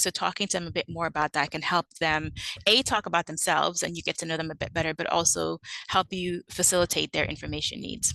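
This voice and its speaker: A woman's very fast, bright, sharp voice at a fairly low pitch with a slight Caribbean accent, dry and close with no echo, over a quiet background. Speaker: librarian. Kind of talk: conference presentation. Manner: hesitant with frequent fillers (um, uh).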